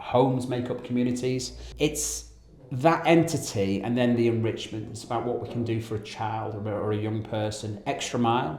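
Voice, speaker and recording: A man at medium pitch and moderate pace, ordinary pitch variation, with audible room echo and noticeable background noise. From northern England (Wigan, near Liverpool). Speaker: charity founder, ex-Navy. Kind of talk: interview.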